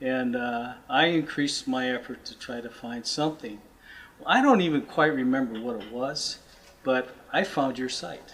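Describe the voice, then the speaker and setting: With a normal speaking voice, a man at a medium pitch talks at a moderate pace with ordinary pitch variation. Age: 60s. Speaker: client giving testimonial. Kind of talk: testimony.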